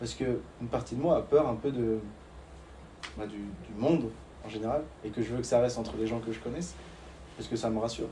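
Very fast speech broken by long, frequent pauses, with audible room echo. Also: man, medium pitch for a man, ordinary pitch variation. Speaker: ski coach and podcast host. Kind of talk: interview.

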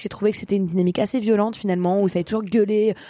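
Her voice is dark and mellow, at medium pitch for a woman with fairly even intonation, in a very clean recording with a silent background. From eastern Paris, France. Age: 30s. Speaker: social entrepreneur. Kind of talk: interview.

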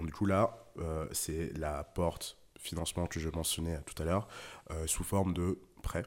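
A man with a very deep, low voice speaks at a fairly slow pace with fairly even intonation and long, frequent pauses, in a very clean recording with a silent background. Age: 20s. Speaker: venture capital investor. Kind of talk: casual interview.

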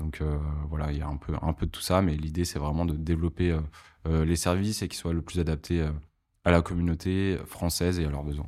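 A man with a very deep, low pitch and a dark, mellow tone talks fairly quickly in a monotone, flat intonation on a very clean recording with a silent background. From northern France, Lille. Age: 30s. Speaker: music distribution executive. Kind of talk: interview.

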